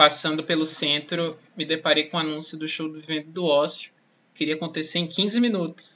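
Fairly high in pitch, a man speaks with fairly even intonation at a moderate pace. He has a plain, everyday voice. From Salvador, Bahia, Brazil. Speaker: journalism student and podcast host. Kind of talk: personal testimony.

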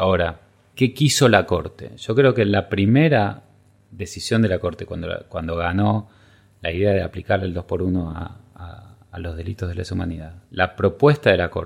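A man's very deep, low, somewhat breathy voice at a moderate pace, with ordinary pitch variation and big swings in loudness. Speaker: legal scholar. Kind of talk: interview. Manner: halting.

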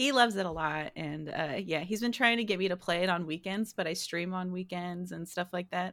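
In an ordinary speaking voice, a woman talks at a fairly quick pace with hardly any pauses, medium pitch and ordinary pitch variation. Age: 20s. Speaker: video game streamer. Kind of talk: casual chat.

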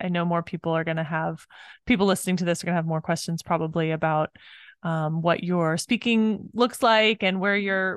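A woman with a normal speaking voice talks at a fairly quick pace and fairly low pitch, the sound dry and close with no echo against a quiet background. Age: 40s. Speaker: podcast host and business coach. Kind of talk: interview.

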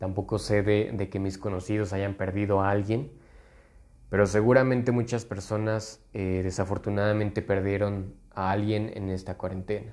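Against a quiet background, a man speaks at a fairly slow pace and a fairly low pitch. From Mexico, Guanajuato. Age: 20s. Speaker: podcast host, lawyer. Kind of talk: casual monologue. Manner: hesitant, many fillers.

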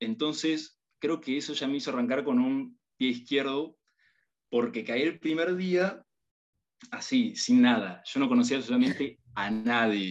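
Using a normal speaking voice, a man talks at a fairly slow pace. His pitch is fairly high and his intonation lively. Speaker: university student. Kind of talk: casual chat.

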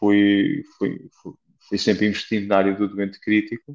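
The man's pitch sits fairly low. He speaks at a fairly slow tempo. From Portugal, Beira Alta. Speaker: flight nurse. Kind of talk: interview. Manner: halting, many repetitions.

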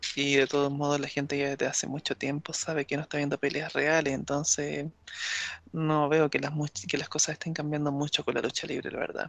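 Heard with a dry, close sound and no echo, a man with a Chilean accent speaks in a fairly high pitch. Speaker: wrestling podcast panelist. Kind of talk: casual chat.

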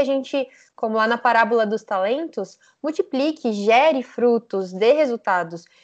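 A woman's lively intonation moves at a moderate pace, the background quiet. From Brazil (born Rio Branco, Acre; lives São Paulo). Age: 20s. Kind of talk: casual chat.

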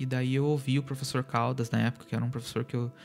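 A man's medium-pitched, monotone, flat delivery at a very fast pace, with music in the background. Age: 30s. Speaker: podcast host. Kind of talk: solo monologue podcast. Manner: halting, many fillers.

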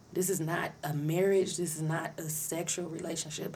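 Over noticeable background noise and audible room echo, a woman with a fairly low pitch talks at a moderate pace in a monotone, flat intonation. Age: 30s. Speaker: podcaster, returning guest. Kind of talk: casual chat.

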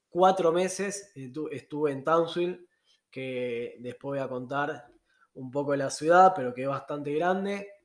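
A normal speaking voice from a man, fairly high in pitch, with ordinary pitch variation and big swings in loudness. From Argentina. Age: 30s. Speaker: travel podcaster. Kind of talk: casual monologue.

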